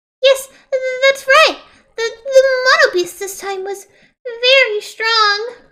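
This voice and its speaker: A female-sounding, put-on character voice, squeaky and extremely high in pitch, with a timid tone. It moves at a fairly slow pace with long, frequent pauses. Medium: game stream. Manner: timid, stammering.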